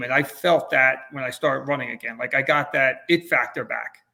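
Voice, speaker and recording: In an ordinary speaking voice, a man talks at a fairly quick pace with a fairly high pitch and fairly even intonation. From New Jersey. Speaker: realtor, ultrarunner. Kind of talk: interview answer.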